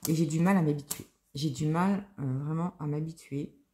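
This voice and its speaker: This woman's voice is somewhat breathy. Its tone is dark and mellow. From Lorraine, France (Nancy). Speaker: crafting vlogger. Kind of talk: casual chat. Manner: hesitant, many fillers.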